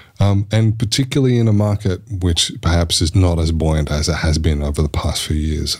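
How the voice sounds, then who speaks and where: A man's very deep, low voice at a fairly quick pace, with very even loudness, ordinary pitch variation, hardly any pauses and noticeable background noise. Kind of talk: casual chat.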